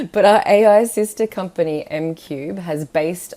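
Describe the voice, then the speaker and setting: This woman talks at a fairly slow pace. She has an Australian accent. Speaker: scientist presenting a software webinar. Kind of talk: webinar presentation. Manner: animated; casual.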